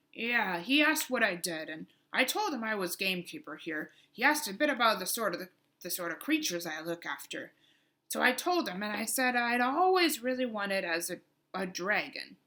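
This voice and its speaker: In a put-on character voice, a woman talks at a fairly quick pace with a fairly high pitch. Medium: read story. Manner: rambling, chatty.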